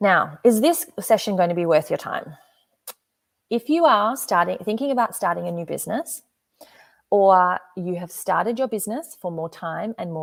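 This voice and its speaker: In an Australian accent, a woman speaks with an energetic tone and lively intonation. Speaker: business coach. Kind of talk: live webinar presentation.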